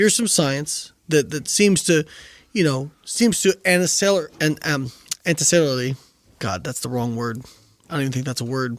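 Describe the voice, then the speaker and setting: In a very clean recording with a silent background, a man with an American accent and an unremarkable speaking voice talks at a moderate pace, his fairly high pitch carrying lively intonation. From Indiana, US Midwest. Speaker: nutrition scientist and physique coach. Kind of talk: casual interview chat.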